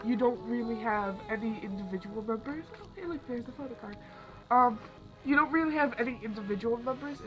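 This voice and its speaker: Over music in the background, a woman with a fairly high voice sounds excited, with ordinary pitch variation, big swings in loudness and long, frequent pauses. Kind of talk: casual talk to camera. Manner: excited, chatty.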